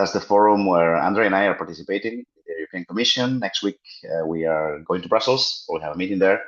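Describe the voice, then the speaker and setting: Talking at a very fast pace, a man with a Spanish accent speaks in a fairly low pitch. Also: ordinary pitch variation. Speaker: routing security program representative. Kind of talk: online community meeting presentation. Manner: hesitant, many fillers.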